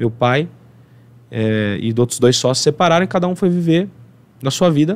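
A man with a fairly high pitch uses lively intonation. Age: 30s. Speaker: accountant and entrepreneur; podcast guest. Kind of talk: interview podcast. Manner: energetic. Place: studio. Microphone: studio mic.

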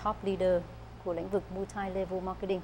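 A fairly quick voice with vocal fry and a dark, mellow tone, over light background noise. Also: woman. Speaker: talk show host. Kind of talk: interview. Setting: studio. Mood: polite, warm. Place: studio. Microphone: lapel.

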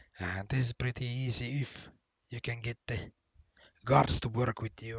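A man's somewhat breathy voice sits at a medium pitch and moves at a moderate pace. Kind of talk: casual gameplay commentary.

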